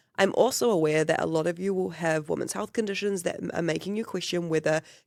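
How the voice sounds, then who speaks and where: Someone with a New Zealand accent speaks at a very fast pace. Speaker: podcast host. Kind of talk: podcast intro and interview.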